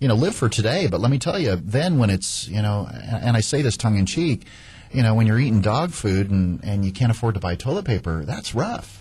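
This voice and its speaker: A man's somewhat breathy voice, dark and mellow in tone and medium in pitch, moves at a fairly quick pace with lively intonation. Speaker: radio host, real estate agent. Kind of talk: radio talk show. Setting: radio studio. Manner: fast.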